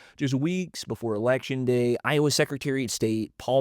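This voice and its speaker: Someone with an American accent talks at a fairly quick pace in an unremarkable speaking voice with ordinary pitch variation. The sound is dry and close with no echo, on a very clean recording with a silent background. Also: man. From US South. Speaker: podcast host. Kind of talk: casual podcast chat on news. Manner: casual, many fillers and restarts.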